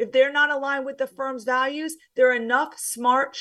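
A woman at a high pitch and moderate pace. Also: very clean recording, silent background. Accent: New Jersey. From US, New Jersey. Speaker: former banker turned career coach. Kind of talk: interview conversation.

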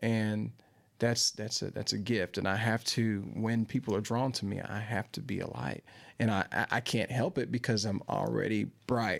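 In a very clean recording with a silent background, a man with an American accent and a fairly low pitch talks at a moderate pace with vocal fry. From Central Kentucky (Winchester). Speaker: singer-songwriter. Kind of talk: casual interview chat. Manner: animated.

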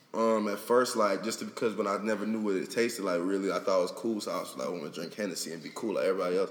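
Over noticeable background noise, a man with an American accent and a fairly low pitch talks at a very fast pace with hardly any pauses and fairly even intonation. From South Florida. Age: 20s. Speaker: rapper. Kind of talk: casual interview.

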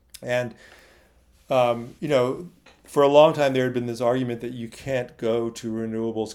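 This man speaks at a moderate pace in an American accent. His intonation stays fairly even. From California, Silicon Valley. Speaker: journalist and author. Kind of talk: interview. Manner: halting, many fillers.

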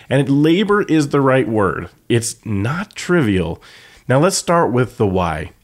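A man's very slow, medium-pitched voice with vocal fry, very wide pitch swings and very even loudness, on a very clean recording with a silent background. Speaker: photography podcast host. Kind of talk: tutorial.

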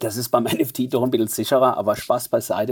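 A man speaks at a fairly quick pace in a Mannheim accent. His tone is dark and mellow. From Germany, Mannheim. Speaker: fintech executive. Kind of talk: interview.

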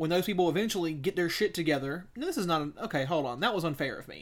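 A man with a Southern US accent talks at a very fast pace with ordinary pitch variation, recorded very cleanly over a silent background. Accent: Southern US (Georgia). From US South. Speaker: podcast co-host. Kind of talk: casual chat.

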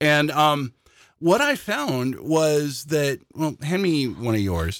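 Recorded very cleanly against a silent background, a man with an American accent and a normal speaking voice talks at a fairly high pitch with lively intonation. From Washington State, US. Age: 50s. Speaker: puzzle hobbyist co-host. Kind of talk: casual chat. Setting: on-camera video recording.

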